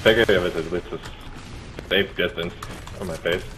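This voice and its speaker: Noticeable background noise runs under the clip. A man talks at a fairly quick pace. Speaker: gaming friend of the host. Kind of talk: casual chat while gaming. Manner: animated.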